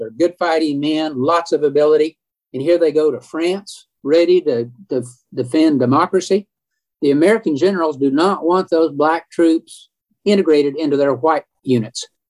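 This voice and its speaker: In an Oklahoma accent, a man talks at a fairly high pitch with ordinary pitch variation, and the sound is dry and close with no echo. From Oklahoma, Edmond. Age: 70s. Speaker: historian. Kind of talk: interview.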